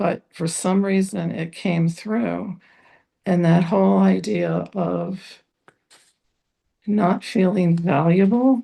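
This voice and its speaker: Long, frequent pauses break up a woman's very slow delivery. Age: 70s. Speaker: spiritual discussion group participant. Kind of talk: personal testimony in group discussion.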